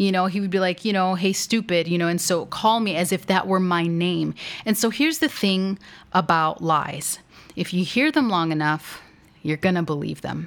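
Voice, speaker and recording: A woman talks at a moderate pace in a plain, everyday voice. Her pitch sits in the medium range, with ordinary variation. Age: 30s. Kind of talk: faith-based teaching monologue. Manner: conversational, with frequent fillers.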